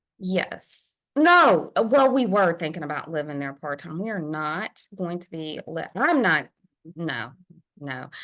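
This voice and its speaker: With a Southern US accent, a woman speaks at a fairly slow pace and fairly low pitch, her loudness swinging widely against a quiet background. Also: lively intonation. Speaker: podcast co-host. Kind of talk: casual chat.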